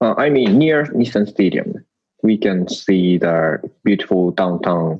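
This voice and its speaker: In a Japanese accent, a man speaks at a very slow pace with long, frequent pauses. His pitch is fairly low, his intonation lively and his loudness very even. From Japan, Tokyo area. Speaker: Japanese expat living in the US. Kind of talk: casual conversation. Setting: video call. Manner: halting.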